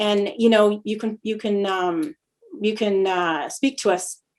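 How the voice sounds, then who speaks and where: A woman with a Canadian accent speaks at a medium pitch. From Canada (Lethbridge, Alberta). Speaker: podcast host. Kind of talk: casual conversation. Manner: fast when excited; hesitant, many fillers.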